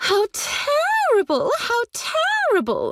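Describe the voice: A put-on character voice, female-sounding, extremely high-pitched, squeaky and shrill, at a very slow pace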